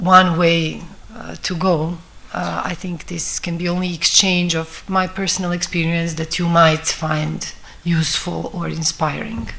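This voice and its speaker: The woman's pitch is fairly low and her intonation monotone and flat. Noticeable background noise is present. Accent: Bosnian. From Bosnia. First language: Bosnian. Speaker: film director. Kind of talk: talk at a festival masterclass. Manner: halting.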